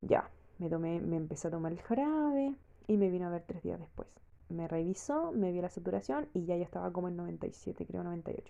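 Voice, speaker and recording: A very fast delivery in a Chilean accent. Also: woman. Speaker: vlogger. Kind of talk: personal testimony. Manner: casual, hesitant with fillers.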